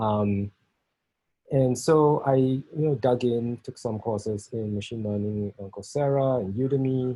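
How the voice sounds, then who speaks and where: A man with a Singaporean accent, fairly slow pace, and fairly even intonation. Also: medium pitch for a man. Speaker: software test engineering leader. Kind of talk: technical talk. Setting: video call. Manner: halting, many fillers.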